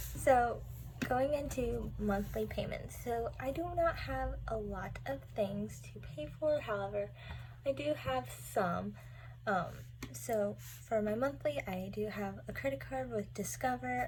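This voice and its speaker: A woman speaks fairly slowly in a room with audible echo. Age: 20s. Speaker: budgeting vlogger. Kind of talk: casual tutorial vlog.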